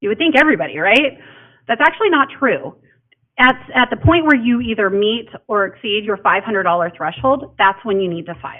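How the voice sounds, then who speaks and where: A woman speaks at a fairly quick pace in a fairly high voice. Her pitch swings very widely. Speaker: county elections official. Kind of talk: public information presentation. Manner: fast.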